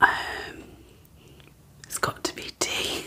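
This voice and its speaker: Someone whispers with a British accent. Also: woman. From Britain. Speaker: ASMR creator. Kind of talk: ASMR tag video, casual talk to camera. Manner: whispered. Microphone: studio mic.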